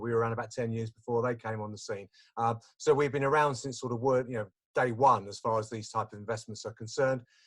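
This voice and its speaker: A man talks with an Essex accent. His pace is very fast. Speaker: investment business development manager. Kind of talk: webinar presentation. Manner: chatty, animated.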